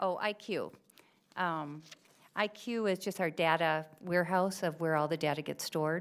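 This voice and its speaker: A woman with a plain, everyday voice speaks at a moderate pace in a fairly low pitch, her loudness very even and her intonation fairly even. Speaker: school administrator presenting to board. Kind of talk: presentation at school board meeting.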